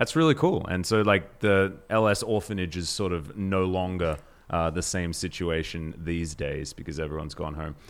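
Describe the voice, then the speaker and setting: At a moderate pace and with hardly any pauses, a man with a very deep, low pitch talks using ordinary pitch variation. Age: 30s. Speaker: esports podcast host. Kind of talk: casual chat. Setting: at co-host's home.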